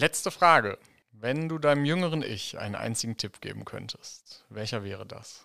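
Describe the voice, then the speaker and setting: A man's normal speaking voice, with lively intonation, a medium pitch, a moderate pace and big swings in loudness, on a very clean recording against a silent background. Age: 40s. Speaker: podcast host, nonprofit director. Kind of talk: interview.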